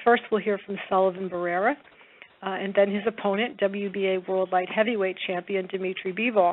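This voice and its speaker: A woman at a fairly quick pace, with fairly even intonation. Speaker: call moderator or publicist. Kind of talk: formal announcement. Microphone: phone line.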